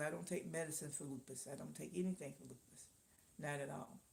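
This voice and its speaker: Vocal fry from a woman at a moderate pace, with ordinary pitch variation. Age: 60s. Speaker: live-stream host, small business owner. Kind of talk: casual live-stream chat. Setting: live stream.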